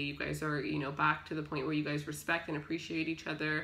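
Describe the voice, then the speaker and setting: A woman's very deep, low voice with vocal fry, at a very fast pace. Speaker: tarot reader. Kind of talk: tarot reading commentary. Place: home room. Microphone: phone near.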